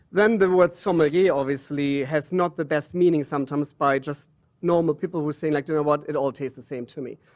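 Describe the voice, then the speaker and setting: Speaking very fast, a man with a German accent keeps his intonation fairly even. His pitch is fairly high. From Germany. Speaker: water sommelier. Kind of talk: interview.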